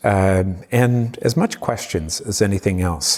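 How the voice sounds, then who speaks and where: A man in a Cape Breton accent, fairly low pitched with ordinary pitch variation, at a fairly slow pace. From Cape Breton, Nova Scotia, Canada. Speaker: community engagement leader and former defence lawyer. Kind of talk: interview conversation. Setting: convention centre talk event.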